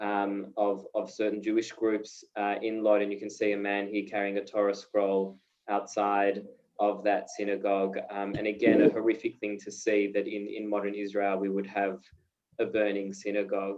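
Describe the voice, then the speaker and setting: At a moderate pace, a man with an Australian accent speaks in a fairly low pitch with monotone, flat intonation. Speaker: peace education director and journalist. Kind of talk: video call talk. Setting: video call. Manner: hesitant, many fillers.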